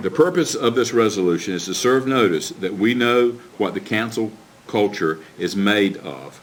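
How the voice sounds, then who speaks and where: A man with a fairly low voice speaks with lively intonation over noticeable background noise. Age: 60s. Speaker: county commissioner. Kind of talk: public meeting speech, partly reading a prepared statement. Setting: county commission meeting. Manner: formal.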